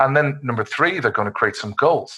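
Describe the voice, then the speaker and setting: Against a quiet background, a man with an Irish accent speaks at a very fast pace with ordinary pitch variation. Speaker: cyber security expert. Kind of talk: webinar presentation. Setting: online webinar.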